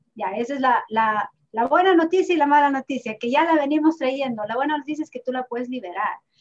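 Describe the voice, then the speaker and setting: Her voice is high in pitch for a woman, with ordinary pitch variation. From Ecuador (Ibarra). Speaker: accountant and therapist. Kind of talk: interview. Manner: halting.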